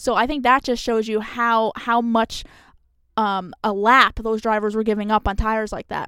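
A woman with an American accent speaks in a fairly high, bright, sharp voice with monotone, flat intonation, captured in a very clean recording with a silent background and a dry, close sound with no echo. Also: moderate pace. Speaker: motorsports journalist. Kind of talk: casual chat.

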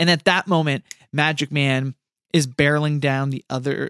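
Captured in a very clean recording with a silent background and a dry, close sound with no echo, a man with fairly high pitch uses a normal speaking voice at a moderate pace. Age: 30s. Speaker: podcast co-host. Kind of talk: casual chat.

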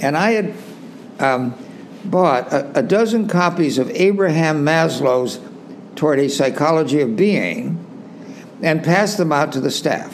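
A man with an American accent speaks with lively intonation and very even loudness. He pauses often and at length, over noticeable background noise. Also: fairly high pitch for a man, fairly slow pace. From California, US West Coast. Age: 90s. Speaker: retreat center co-founder and author. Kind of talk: interview. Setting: video call.

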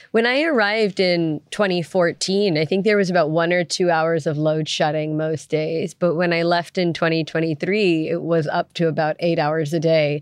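An unremarkable speaking voice from a woman, fairly low in pitch, with fairly even intonation and a moderate pace. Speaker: energy researcher leading discussion. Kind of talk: interview.

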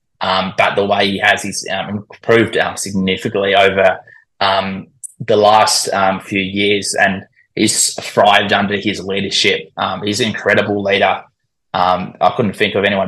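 This man has an Australian accent and a fairly low pitch, speaking at a moderate pace in a flat monotone. His tone is bright and sharp. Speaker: cricket commentator and social media account runner.

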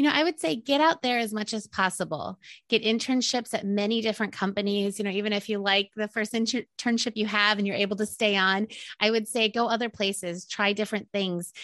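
This is an unremarkable speaking voice, moving at a fairly quick pace with ordinary pitch variation. The sound is dry and close with no echo, over a quiet background. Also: woman. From Indiana. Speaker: PR agency owner and former TV reporter. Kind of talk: interview.

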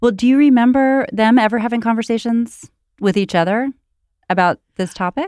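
A plain, everyday voice moves at a moderate pace with ordinary pitch variation. The sound is dry and close, with no echo. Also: woman, fairly high pitch for a woman. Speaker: podcast host. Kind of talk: interview.

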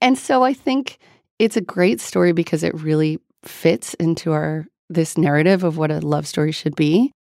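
Here is a woman with a plain, everyday voice at a fairly low pitch, speaking at a moderate pace. Her intonation is lively, and the sound is dry and close with no echo. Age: 30s. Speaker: author and writing teacher. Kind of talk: interview. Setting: studio.

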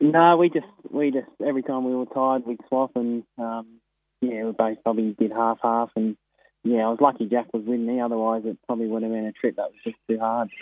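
A man with an Australian accent speaks at a fairly quick pace and medium pitch, with fairly even intonation and big swings in loudness. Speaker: harness racing trainer and driver. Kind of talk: phone interview.

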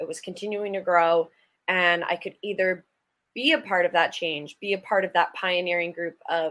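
In an American accent, a woman of medium pitch talks at a moderate pace with a bright, sharp tone and fairly even intonation. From Acton, Massachusetts (Boston area). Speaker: professional hockey player. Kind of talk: casual interview.

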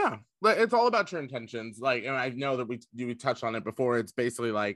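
Dry, close sound with no echo carries a man with an American accent and a normal speaking voice. His pitch is medium and his pace fairly quick. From Indiana. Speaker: drag queen. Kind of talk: casual interview chat.

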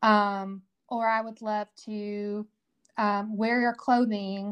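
The speaker has a Southern US accent and a monotone, flat intonation, heard in a dry, close sound with no echo. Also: woman, quiet background. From Tennessee, Fayetteville. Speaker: whiskey cream company founder. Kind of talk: casual interview.

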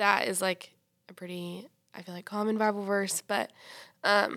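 A woman with an American accent speaks at a fairly slow pace in a normal speaking voice of medium pitch. Her intonation is fairly even, and the recording is very clean with a silent background. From US South. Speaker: nursing student. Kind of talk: casual chat.

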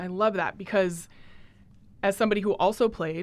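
A plain, everyday voice from a woman with an American accent. She speaks at a moderate pace with ordinary pitch variation in a very clean recording with a silent background. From US Pacific Northwest, Portland. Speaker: sports podcast host. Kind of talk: interview.

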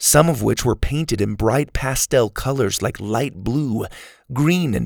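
Lively intonation across plain reading aloud

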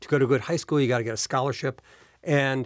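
A man's medium-pitched voice at a very fast pace, dry and close with no echo, on a very clean recording against a silent background. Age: 60s. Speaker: business executive and investor. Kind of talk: interview. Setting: studio.

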